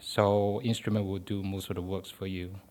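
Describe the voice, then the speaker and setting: A man's fairly low voice in a Chinese accent, monotone and flat, at a moderate pace. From Malaysia. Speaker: postdoctoral chemistry researcher. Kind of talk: interview. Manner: halting.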